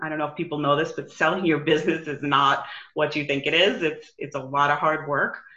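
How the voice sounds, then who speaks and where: Her pitch is very deep and low. The woman speaks with a New York accent. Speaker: business coach. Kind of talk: casual interview.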